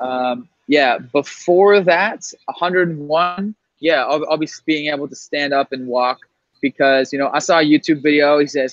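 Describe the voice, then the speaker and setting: A man's fairly high voice, an ordinary speaking voice, with ordinary pitch variation at a moderate pace. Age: young. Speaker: podcast host. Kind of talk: casual chat.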